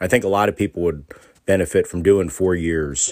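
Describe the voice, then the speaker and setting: A man's very deep, low voice with an American accent, ordinary pitch variation and a fairly quick pace. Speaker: listener leaving a voicemail. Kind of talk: voicemail message. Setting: recorded voice message.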